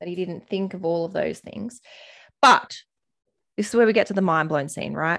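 Recorded very cleanly with a silent background, a woman speaks at a medium pitch and moderate pace with ordinary pitch variation and an animated tone. Her loudness swings widely, and she takes long, frequent pauses. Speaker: podcast host. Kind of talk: casual chat. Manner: animated, excitable.

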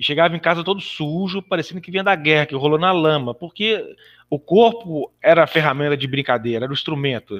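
Here a man has an unremarkable speaking voice, pitched fairly high. He moves at a fairly quick pace with ordinary pitch variation. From Brazil, Belo Horizonte (Minas Gerais). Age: 40s. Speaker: physical education teacher and American football club executive. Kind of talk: casual podcast interview, storytelling.

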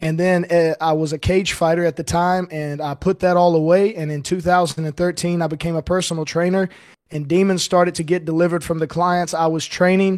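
A man speaks with monotone, flat intonation at a high pitch. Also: fairly quick pace. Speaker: ministry founder. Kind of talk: casual chat.

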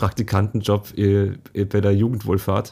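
In a very clean recording with a silent background, a man speaks at a fairly low pitch with monotone, flat intonation. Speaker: podcast host, translator. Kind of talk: casual chat. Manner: halting.

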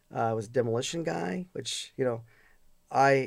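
A man in a normal speaking voice with an American accent, medium pitch, lively intonation, and a fairly quick pace. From Chicago area, US. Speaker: data center company CEO. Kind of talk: casual interview. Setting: studio.

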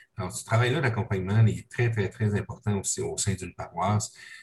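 At a moderate pace, a man with a fairly low, somewhat breathy voice speaks with ordinary pitch variation. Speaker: parish podcast host. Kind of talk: interview. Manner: halting.

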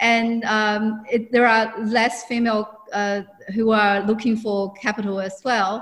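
A woman speaks with a Chinese accent at a fairly high pitch. Her intonation stays monotone and flat. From China. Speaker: businesswoman and mentor. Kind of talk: interview.

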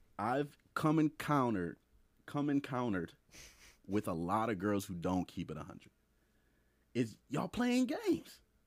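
In a very clean recording with a silent background, a man speaks at a moderate pace in a medium pitch. His tone is animated, with very wide pitch swings and long, frequent pauses. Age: 20s. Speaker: podcast co-host, hospital worker. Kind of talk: casual chat.

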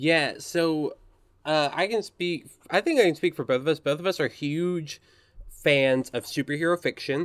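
A man's normal speaking voice, fairly high in pitch with ordinary variation, at a moderate pace, in a dry, close sound with no echo and a very clean recording over a silent background. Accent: American. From US South, Arkansas. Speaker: podcast host. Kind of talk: casual chat.

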